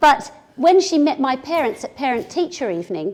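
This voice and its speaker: A woman with an English accent speaks in a high voice. Her pitch moves in very wide swings. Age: 60s. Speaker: business communication speaker. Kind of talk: keynote talk to audience.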